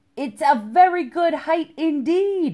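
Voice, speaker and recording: Someone uses a high-pitched, put-on character voice at a fairly slow pace. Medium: read story. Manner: curt, easily offended.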